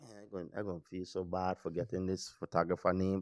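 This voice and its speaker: Over a very clean recording with a silent background and a dry, close sound with no echo, a man with a Virgin Islands accent speaks at a fairly quick pace in a fairly low voice. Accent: Virgin Islands Caribbean English. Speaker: podcast co-host. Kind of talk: casual chat.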